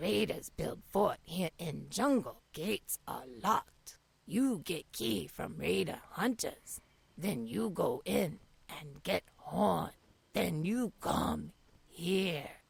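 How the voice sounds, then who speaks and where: Raspy and very slow, this put-on character voice sits at a middle pitch. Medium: video game. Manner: broken, clipped sentences without articles; slow, plain and direct.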